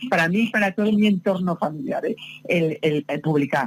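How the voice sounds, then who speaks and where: A somewhat breathy woman speaks at a fairly low pitch with very wide pitch swings. The sound is dry and close, with no echo. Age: 60s. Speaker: novelist. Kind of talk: interview. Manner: halting.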